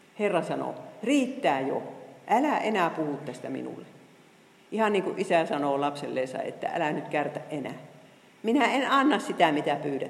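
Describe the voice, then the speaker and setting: A woman talks at a moderate pace, her fairly low voice making very wide pitch swings. Noticeable background noise and audible room echo are present. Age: 60s. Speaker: Bible teacher. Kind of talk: lecture. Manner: halting.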